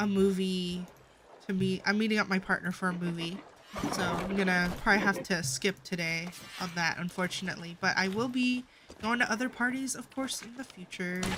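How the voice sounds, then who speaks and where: The speech comes at a fairly quick pace with music in the background. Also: woman, medium pitch for a woman, ordinary pitch variation. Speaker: video game streamer. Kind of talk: casual gameplay livestream chat. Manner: halting, with repeated words.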